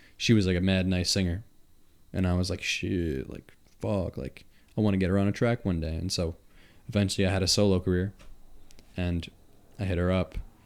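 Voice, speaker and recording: Speaking fairly quickly with a Long Island accent, a man uses a very deep, low voice. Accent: Long Island accent, noticeable. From Long Island, New York. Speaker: podcast host and musician. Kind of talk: casual chat. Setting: studio.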